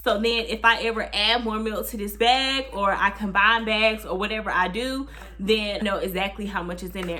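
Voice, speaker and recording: Audible room echo surrounds a woman with a fairly high pitch. She talks at a fairly quick pace with ordinary pitch variation. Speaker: vlogger, new mother. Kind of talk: casual vlog talk to camera.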